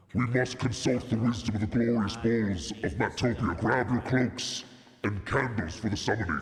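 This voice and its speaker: A man's put-on character voice, menacing in tone, at medium pitch and a moderate pace. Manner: menacing, ritualistic.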